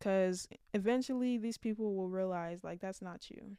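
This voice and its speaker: Her tone is dark and mellow, at a medium pitch. The woman speaks at a moderate pace with fairly even intonation. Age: 20s. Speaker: podcast host. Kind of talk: casual chat.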